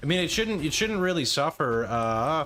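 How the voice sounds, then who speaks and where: A man with an American accent talks at a moderate pace in a fairly high pitch. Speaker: game streamer. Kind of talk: live stream chat. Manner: casual, halting.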